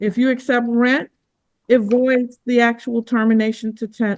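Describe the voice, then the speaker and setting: This woman's voice has a fairly high pitch. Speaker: judge. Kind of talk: courtroom hearing. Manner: firm.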